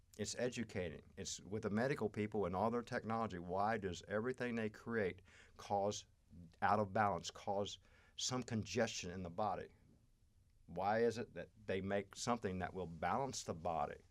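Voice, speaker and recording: A man with an ordinary speaking voice talks at a moderate pace with fairly even intonation. His pitch is fairly low, on a very clean recording with a silent background. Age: 60s. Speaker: astrology and healing guest. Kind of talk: podcast interview.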